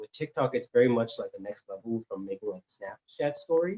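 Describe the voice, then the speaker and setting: The voice has a dark, mellow tone and a Californian accent. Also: man. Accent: California English. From US West Coast, Cupertino. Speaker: civil engineer and social media creator. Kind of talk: interview. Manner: halting, many fillers and restarts.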